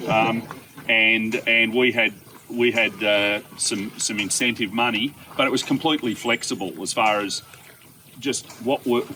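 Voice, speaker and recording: The speaker keeps a fairly slow pace and fairly even intonation over noticeable background noise. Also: man, medium pitch for a man. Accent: Australian. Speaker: environmental consultant. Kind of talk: outdoor farm tour talk. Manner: loud.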